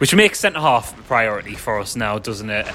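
A man with a Sunderland accent, over noticeable background noise. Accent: northern English (Sunderland area). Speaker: football podcast host. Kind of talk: casual banter chat.

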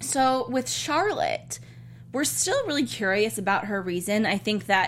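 Noticeable background noise sits under a woman talking fairly slowly. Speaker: TV after-show host. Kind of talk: casual chat. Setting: studio.

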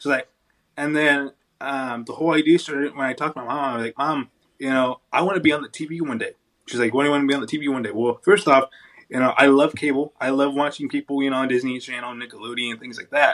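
A man speaks very fast with an American accent. His pitch is fairly high, and his intonation stays fairly even. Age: 20s. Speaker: wheelchair bodybuilder and actor. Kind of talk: casual interview.

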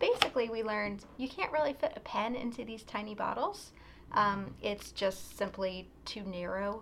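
A woman talks at a moderate pace in a fairly high pitch with ordinary pitch variation. Noticeable background noise runs under her voice. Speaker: pen shop video co-host. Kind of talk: casual product talk video.

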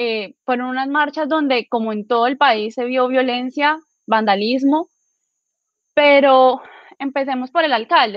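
Speaking at a fairly slow pace, a woman has a high pitch with ordinary pitch variation. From Villavicencio, Colombia. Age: 20s. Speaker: law student and political activist. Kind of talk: political panel discussion.

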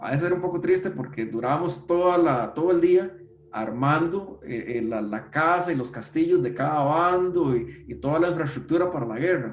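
Lively intonation at a moderate pace with hardly any pauses, plus audible room echo and noticeable background noise. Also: man, fairly high pitch for a man. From Costa Rica, San José. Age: 40s. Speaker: database technology expert. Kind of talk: interview conversation. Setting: video call from home.

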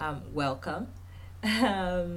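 Speaking at a very slow pace, a woman uses a fairly low pitch and lively intonation.

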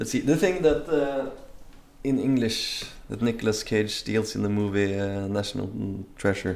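With a Norwegian accent, a man speaks in ordinary pitch variation, leaving long, frequent pauses. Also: medium pitch for a man, moderate pace. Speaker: traveler. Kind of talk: casual chat. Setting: livestream.

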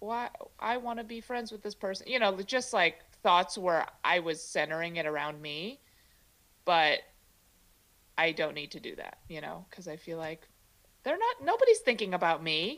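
At a moderate pace, a woman speaks with medium pitch and lively intonation, leaving long, frequent pauses. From US Midwest (Chicago). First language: Mandarin. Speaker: comedian. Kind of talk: casual chat.

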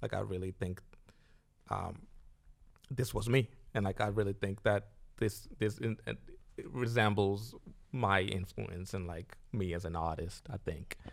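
With vocal fry, a man talks at a fairly slow pace, leaving long, frequent pauses. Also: fairly low pitch for a man, ordinary pitch variation, very clean recording, silent background. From Zimbabwe. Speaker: musician. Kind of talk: casual chat.

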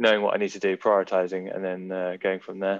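In a dry, close recording with no echo, a man with a southern English accent speaks fairly quickly in a very deep, monotone, flat voice. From Oxfordshire, England. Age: 20s. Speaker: Olympic windsurfer. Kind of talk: interview.

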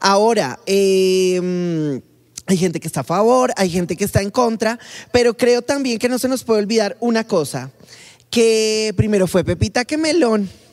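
In a normal speaking voice, a woman talks at a fairly slow pace and medium pitch with lively intonation. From Colombia. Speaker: podcast co-host. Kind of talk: casual chat.

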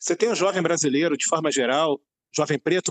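A man talks in an unremarkable speaking voice, fairly high in pitch with ordinary variation. The sound is dry and close with no echo. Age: 50s. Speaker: director, journalist and teacher. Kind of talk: interview discussion.

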